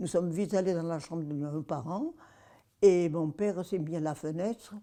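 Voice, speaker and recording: The tone is dark and mellow. Delivery comes at a moderate pace with ordinary pitch variation. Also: woman. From Provence, France. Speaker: war witness. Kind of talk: testimony.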